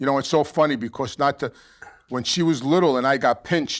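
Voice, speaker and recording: A man with a New York accent talks at a very fast pace. His intonation stays fairly even. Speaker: former mobster, addiction counselor. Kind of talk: casual chat.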